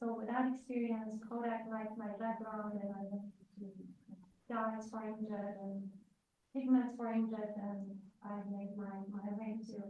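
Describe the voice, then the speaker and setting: A woman speaks at a fairly slow pace in a fairly high, somewhat breathy voice. Her intonation is monotone and flat, and there is audible room echo. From Romania. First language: Romanian. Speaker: industrial chemist, guest lecturer. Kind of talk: lecture. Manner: halting, many fillers.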